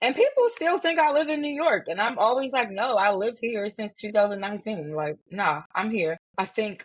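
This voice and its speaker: A woman's fairly quick speech has lively intonation. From Baltimore, Maryland. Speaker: sports community founder. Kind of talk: podcast interview.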